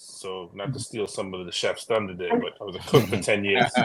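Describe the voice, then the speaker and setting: Talking with a New York accent at a moderate pace, a man makes very wide pitch swings. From New York City (Brooklyn). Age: 40s. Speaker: EMS worker and union delegate. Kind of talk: casual chat.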